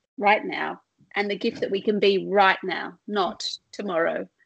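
Using a normal speaking voice, a woman talks at a fairly high pitch. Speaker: podcast host. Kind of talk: casual interview chat.

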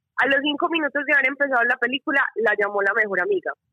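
Speaking very fast, a woman uses a high pitch and lively intonation. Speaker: listener caller. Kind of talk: casual chat. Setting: phone call. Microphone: bad connection.

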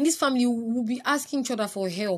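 Breathing somewhat audibly into her words, a woman speaks at a fairly quick pace. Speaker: podcast host. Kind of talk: casual monologue. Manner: animated.

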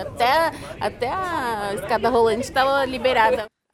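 Ordinary pitch variation, with audible room echo and crowd noise in the background. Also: woman. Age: 20s. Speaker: university student and commuter. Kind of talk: interview.

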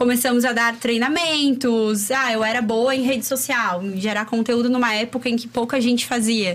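The speaker keeps a moderate pace with hardly any pauses, fairly even intonation, and very even loudness. Noticeable background noise is present. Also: woman, high pitch for a woman. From Chapecó, Santa Catarina, southern Brazil. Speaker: entrepreneur and women's personal development coach. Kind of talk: casual interview chat. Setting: studio.

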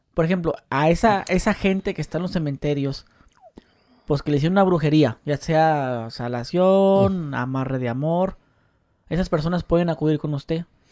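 This man has an ordinary speaking voice, pitched fairly high. He keeps a moderate pace with ordinary pitch variation. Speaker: podcast host and YouTuber. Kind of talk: casual interview chat.

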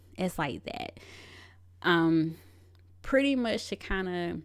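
A woman speaks with an Atlanta accent at a fairly low pitch. The recording is very clean, with a silent background. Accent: Southern US, East Atlanta. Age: 30s. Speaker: podcast host. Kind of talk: personal storytelling monologue. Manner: animated.

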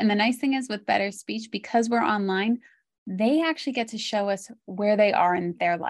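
Over a quiet background, a woman speaks at a medium pitch with ordinary pitch variation. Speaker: speech therapist. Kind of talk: interview. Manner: calm.

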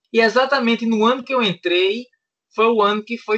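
A man with a Pernambuco accent, talking at a fairly quick pace. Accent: Pernambuco northeastern Brazilian. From Pernambuco sertão, Petrolina. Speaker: podcast co-host, DeMolay senior member. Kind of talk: casual chat.

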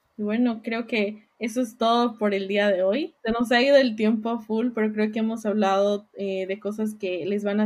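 Her ordinary speaking voice sits at a medium pitch for a woman, moving at a moderate pace with fairly even intonation. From Bolivia, La Paz. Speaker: podcast co-host. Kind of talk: casual chat.

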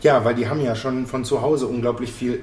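A man's medium-pitched, monotone, flat voice with audible room echo and noticeable background noise. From Bochum, Ruhr area, Germany. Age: 30s. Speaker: school mentoring program worker. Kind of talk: casual chat. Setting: café.

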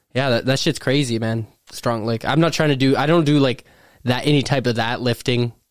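Against a silent background in a very clean recording, a man talks fairly quickly in an ordinary speaking voice, his medium pitch held to fairly even intonation. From Thunder Bay, Canada. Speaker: professional MMA fighter. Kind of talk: casual podcast chat.

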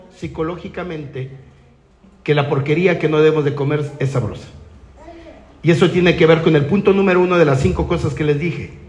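A man at a fairly high pitch, with audible room echo. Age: 50s. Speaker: network marketing speaker. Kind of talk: motivational talk.

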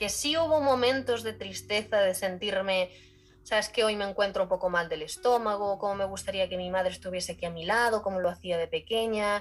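A woman with a plain, everyday voice, medium in pitch, with ordinary pitch variation and a fairly quick pace. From Spain, Galicia (rural). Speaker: podcast guest sharing her emigrant story. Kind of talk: casual interview chat.

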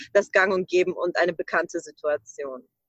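A woman's voice, dry and close with no echo. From Ukraine. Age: 20s. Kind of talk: podcast interview.

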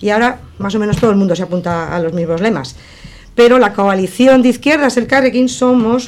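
This woman has a normal speaking voice with fairly high pitch. She talks at a fairly quick pace with lively intonation. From Basque Country, Sestao (Biscay). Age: 60s. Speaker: councillor and election candidate. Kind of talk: radio election debate. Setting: radio studio.

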